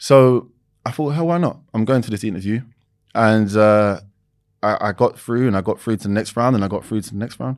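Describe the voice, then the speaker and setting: Over a very clean recording with a silent background, a man with a London accent speaks fairly quickly at medium pitch with ordinary pitch variation. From East London, England. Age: 20s. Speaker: reality TV personality and former footballer. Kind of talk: casual interview.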